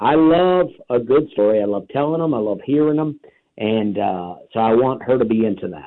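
Using an ordinary speaking voice, a man talks at a moderate pace and medium pitch with lively intonation. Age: 40s. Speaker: stand-up comedian. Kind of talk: interview.

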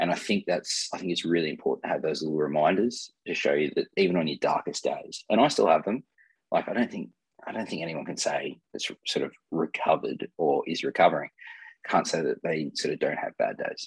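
A man talks at a fairly quick pace with an Australian accent. The sound is dry and close, with no echo. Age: 30s. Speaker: mental health advocate sharing lived experience. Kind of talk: interview about personal experience. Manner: halting, many fillers and repeats.

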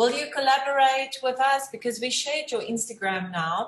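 This speaker has a South African accent and a fairly slow pace. The pitch swings very widely. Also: woman. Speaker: talk show host. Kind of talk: casual interview.

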